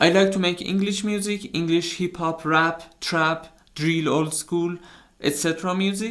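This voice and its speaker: His pace is moderate. The man talks with a non-native accent. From outside US, UK and Canada. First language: not English. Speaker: music producer, YouTuber. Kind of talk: tutorial. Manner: halting.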